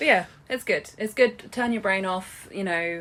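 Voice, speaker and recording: Ordinary pitch variation in an English accent. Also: woman. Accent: English, stated by co-host. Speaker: podcast co-host. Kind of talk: podcast outro with contact details; casual chat.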